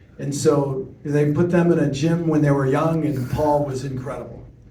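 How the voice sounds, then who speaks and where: Room echo is audible as a man with an American accent speaks at a fairly high pitch. His intonation is monotone and flat. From US Midwest, Chicago. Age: 60s. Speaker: TV news reporter. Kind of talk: talk to audience, storytelling Q&A.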